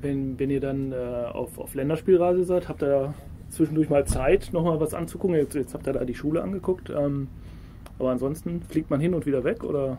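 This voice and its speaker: A man talks at a moderate pace in a fairly high voice with ordinary pitch variation. He has a plain, everyday voice. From Ruhr area, Germany. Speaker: podcast host. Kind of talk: casual interview.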